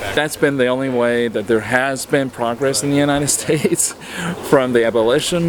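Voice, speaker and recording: Over noticeable background noise, a man talks at a fairly quick pace with fairly even intonation and a fairly high pitch. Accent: Texas. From Texas. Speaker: activist. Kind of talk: testimony.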